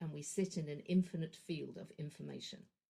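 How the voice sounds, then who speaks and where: A woman with a London accent has a fairly low, somewhat breathy voice and fairly even intonation. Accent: southern English (London). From London, England. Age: 60s. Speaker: energy practitioner / horse trainer. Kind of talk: podcast interview. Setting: podcast.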